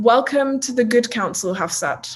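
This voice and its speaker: A woman speaks in an unremarkable speaking voice. Her pace is fairly slow, with ordinary pitch variation. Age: 20s. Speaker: youth representative interviewer. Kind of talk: interview. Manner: formal.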